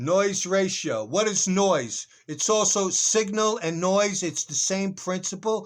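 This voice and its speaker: On a very clean recording with a silent background, a man with a high pitch speaks at a fairly slow pace. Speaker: currency trader. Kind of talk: market analysis tutorial. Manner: casual, halting.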